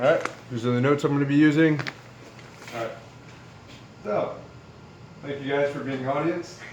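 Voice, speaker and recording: Mumbling speech with fairly even intonation and long, frequent pauses comes through audible room echo and noticeable background noise. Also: man, fairly high pitch for a man, fairly quick pace. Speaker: student and Navy service member. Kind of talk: class speech. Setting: classroom with audience. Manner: fast with many fillers; trails off into mumble.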